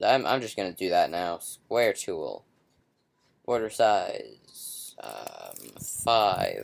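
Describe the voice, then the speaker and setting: A quiet man at a very slow pace, with big swings in loudness, on a very clean recording with a silent background. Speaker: software tutorial maker. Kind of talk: tutorial. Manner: hesitant, humming to self.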